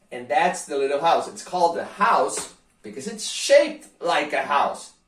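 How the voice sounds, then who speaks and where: With audible room echo, a man speaks fairly slowly in an animated tone at a high pitch, using very wide pitch swings. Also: big swings in loudness. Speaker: guitar teacher. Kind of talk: tutorial.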